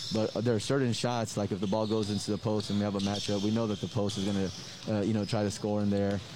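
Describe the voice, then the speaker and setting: A man with a fairly low voice talks very fast in a flat monotone, hardly pausing and keeping his loudness very even. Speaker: basketball head coach. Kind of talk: interview. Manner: halting, filler-heavy, casual.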